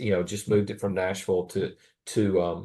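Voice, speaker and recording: Over a quiet background, a man with a Southern US accent talks at a fairly quick pace in a fairly low pitch. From US South, small-town Alabama. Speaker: government relations consultant. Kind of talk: podcast interview. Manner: halting, many fillers.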